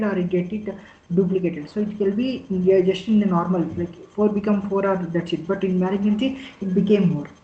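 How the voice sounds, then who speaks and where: A man's fairly quick speech in an Indian accent with fairly even intonation and audible room echo. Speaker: clinical data specialist. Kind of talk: lecture. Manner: fast; halting.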